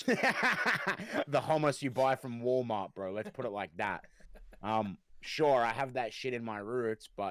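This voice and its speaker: Heard in a dry, close sound with no echo, a man with a slight Australian accent speaks with ordinary pitch variation. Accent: mild Australian. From Australia, raised in the city. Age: 20s. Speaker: rapper and music producer. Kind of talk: casual chat.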